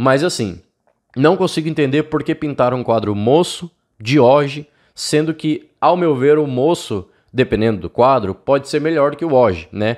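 A man speaks in an animated tone at a moderate pace, his pitch swinging very widely, over a quiet background. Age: 20s. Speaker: cycling YouTuber. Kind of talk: casual video review of viewer bikes. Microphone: studio mic.

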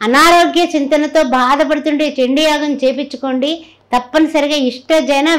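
A woman speaks against a quiet background. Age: 60s. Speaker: astrologer. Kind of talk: sales pitch; religious talk. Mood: warm, devotional. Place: home room.

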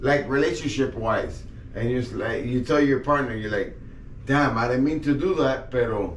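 Set against light background noise and audible room echo, the speech moves at a moderate pace with ordinary pitch variation. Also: man. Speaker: podcast guest. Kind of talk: casual chat. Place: studio.

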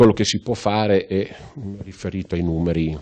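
Against a quiet background, the man's voice has a dark, mellow tone. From Italy, Rimini (Emilia-Romagna). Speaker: local police commander. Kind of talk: TV interview. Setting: police headquarters office. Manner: formal. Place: office. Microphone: handheld.

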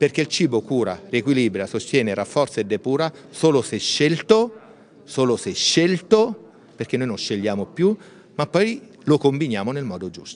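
A man at a moderate pace, with very wide pitch swings and big swings in loudness. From Marche, Italy. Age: middle-aged. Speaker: doctor and nutrition speaker; speaker. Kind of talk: interview. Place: hall. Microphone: handheld.

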